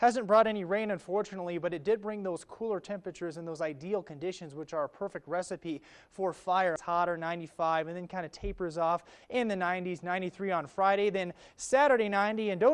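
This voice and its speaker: A man talks at a very fast pace in a high pitch, with an upbeat tone. His pitch varies in an ordinary way against a quiet background. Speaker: TV weather presenter and reporter. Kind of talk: TV weather forecast.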